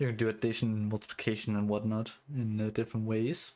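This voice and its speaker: A man speaks with a Danish accent. The recording is very clean, with a silent background. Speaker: streamer and hobby OS developer. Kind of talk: live stream chat while coding. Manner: halting, many fillers and restarts.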